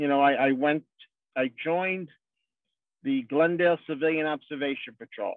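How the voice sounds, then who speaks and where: A man speaks at a moderate pace with a fairly high pitch. His pitch variation is ordinary. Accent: New York. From New York City, Brooklyn/Queens. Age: 60s. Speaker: politician. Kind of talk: speech. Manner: informal, halting with repetitions.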